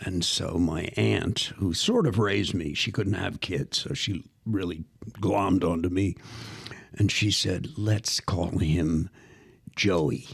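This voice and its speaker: A man with an American accent speaks very slowly in a very deep, low, somewhat breathy voice. His pitch varies in an ordinary way. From US Northeast, Philadelphia. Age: 70s. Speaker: actor and professor. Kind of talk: casual interview storytelling. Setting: podcast studio. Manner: animated.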